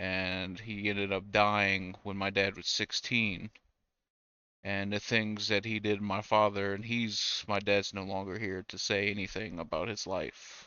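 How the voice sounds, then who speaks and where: A man with an American accent speaks at a fairly slow pace. His fairly low voice is monotone and flat. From Louisiana and Mississippi, US South. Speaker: vlogger. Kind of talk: personal testimony. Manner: blunt; halting, many fillers.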